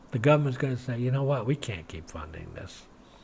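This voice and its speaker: With an American accent, a man talks at a medium pitch with ordinary pitch variation, his tone dark and mellow and somewhat breathy. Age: 60s. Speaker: religious video blogger. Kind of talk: monologue to camera. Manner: animated.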